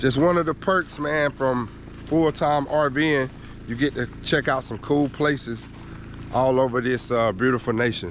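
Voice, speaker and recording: A man with an American accent at a medium pitch, talking at a fairly slow pace with long, frequent pauses, over noticeable background noise. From Georgia, US South. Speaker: RV travel vlogger. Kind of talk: casual vlog talk.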